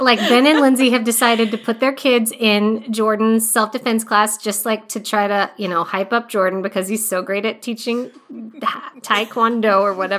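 Amid noticeable background noise, a woman speaks at a moderate pace with fairly high pitch and fairly even intonation. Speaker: cast member. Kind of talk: casual group chat.

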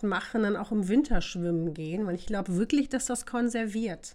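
Her pitch fairly high and its variation ordinary, a woman is speaking. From northern Germany, Osnabrück. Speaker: podcast guest. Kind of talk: casual chat.

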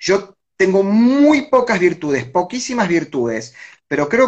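At a high pitch, a man speaks at a fairly slow pace with very wide pitch swings. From Argentina, Buenos Aires area (Avellaneda). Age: 30s. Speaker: political analyst. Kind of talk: interview.

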